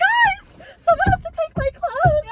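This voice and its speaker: A woman puts on a squeaky character voice at an extremely high pitch, with very wide pitch swings and a fairly slow pace. The sound is dry and close, with no echo. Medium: solo performance. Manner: bossy, demanding.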